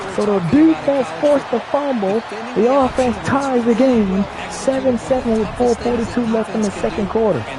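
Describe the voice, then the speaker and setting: A high-pitched woman's voice at a moderate pace, with ordinary pitch variation and noticeable background noise. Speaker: gaming streamer. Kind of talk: live commentary. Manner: whispering; animated.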